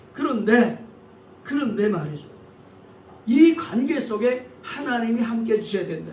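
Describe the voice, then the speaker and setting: With noticeable background noise and audible room echo, a man speaks at a moderate pace in a high pitch with lively intonation. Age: 60s. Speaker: pastor. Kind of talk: sermon. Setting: church.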